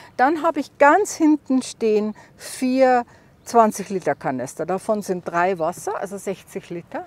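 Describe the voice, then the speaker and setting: Fairly high female voice, its pitch swinging very widely. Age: 60s. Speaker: solo overland traveler. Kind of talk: casual tour of her vehicle. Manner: halting, many fillers.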